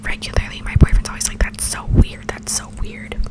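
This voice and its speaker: Whispering at a very fast pace, a woman can be heard over noticeable background noise. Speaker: ASMR creator. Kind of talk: ASMR whisper ramble. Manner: whispered.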